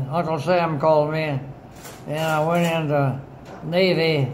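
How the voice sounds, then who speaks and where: Speaking at a very slow pace, a man with a fairly high pitch keeps a monotone, flat intonation. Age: 80s+. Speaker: Navy veteran, retired government mapmaker. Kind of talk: casual reminiscing with family. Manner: slow, hesitant.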